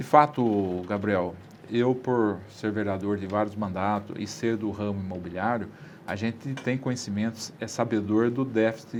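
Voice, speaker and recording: The speaker uses a plain, everyday voice, moving at a fairly slow pace with fairly even intonation. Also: man, fairly low pitch for a man. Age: 60s. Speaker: city councillor. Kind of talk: interview. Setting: studio.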